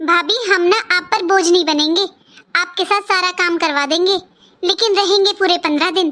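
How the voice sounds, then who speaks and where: In a cartoonish character voice, a woman speaks at an extremely high pitch and a moderate pace, keeping her loudness very even. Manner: emotional, insistent.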